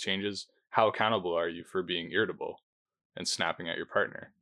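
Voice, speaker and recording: A quiet man's voice at a very fast pace. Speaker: podcast co-host. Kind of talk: casual chat.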